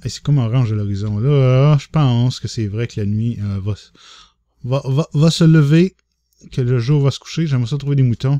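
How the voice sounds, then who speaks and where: In a Quebec accent, a man speaks at a moderate pace with a medium pitch, ordinary pitch variation and a dark, mellow tone. The sound is dry and close, with no echo. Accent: Québécois French. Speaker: gaming YouTuber. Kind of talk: let's play commentary. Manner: animated.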